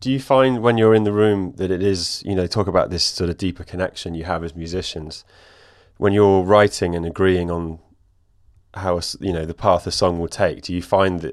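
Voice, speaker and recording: Against a very clean recording with a silent background, a man with an English accent and a very deep, low pitch speaks at a fairly quick pace with fairly even intonation. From England. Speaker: podcast host. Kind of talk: interview.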